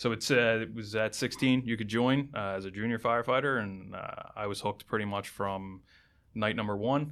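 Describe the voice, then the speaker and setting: On a very clean recording against a silent background, an unremarkable speaking voice in an American accent talks at a fairly quick pace with fairly even intonation. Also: man, medium pitch for a man. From southeastern Pennsylvania, outside Philadelphia. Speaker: fire lieutenant. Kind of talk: casual interview. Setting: studio.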